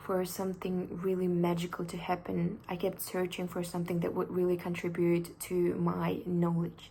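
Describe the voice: A woman talks at a moderate pace in a fairly low pitch. Audible room echo surrounds her voice.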